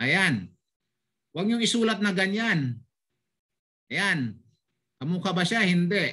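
A man talks at a very slow pace in a bright, sharp tone. The background is quiet. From Philippines, Bulacan; Philippines. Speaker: language teacher. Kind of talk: online language lesson. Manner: animated. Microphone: video call.

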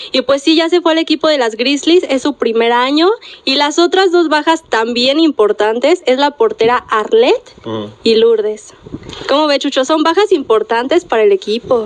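Over light background noise, a woman talks at a moderate pace. Her high voice makes very wide pitch swings. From Mexico. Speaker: sports radio co-host. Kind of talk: sports talk radio. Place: studio.

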